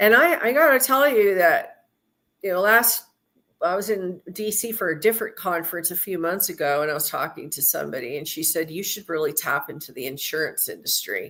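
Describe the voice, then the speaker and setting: In an American accent, a woman with a medium pitch and a bright, sharp tone speaks fairly quickly, her pitch swinging very widely and her loudness varying greatly. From Southern California. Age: 60s. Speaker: women's trucking advocacy founder. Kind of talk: live stream interview. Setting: live stream.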